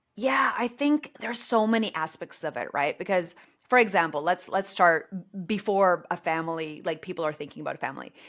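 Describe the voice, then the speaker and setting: With a Canadian accent, a woman talks at a fairly quick pace in an unremarkable speaking voice, medium in pitch, with lively intonation. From Canada. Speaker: author. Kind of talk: podcast interview.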